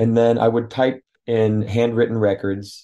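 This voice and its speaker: Over a quiet background, a man speaks fairly slowly in a fairly low voice with a dark, mellow tone. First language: French. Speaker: author. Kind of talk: interview. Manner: halting.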